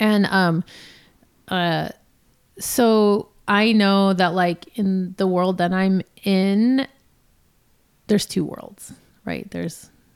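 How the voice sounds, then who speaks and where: In a Californian accent, a woman with a fairly low voice speaks at a fairly slow pace, her pitch varying in an ordinary way. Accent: Californian American. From Los Angeles. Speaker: DJ and music producer. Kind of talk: casual interview chat.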